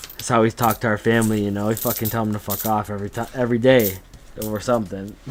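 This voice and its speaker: A man speaks with monotone, flat intonation over noticeable background noise. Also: fairly low pitch for a man. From Canada, Niagara region, Ontario. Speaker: coin roll hunting streamer. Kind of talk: live stream chat while sorting coins. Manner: casual, swears a lot; halting, repeats words.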